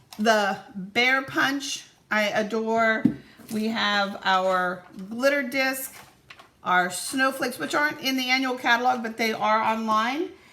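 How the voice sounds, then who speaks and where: A woman speaks at a very slow pace with a fairly high pitch. Her tone is bright and sharp, with ordinary pitch variation. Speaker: papercraft demonstrator. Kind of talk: tutorial. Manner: casual.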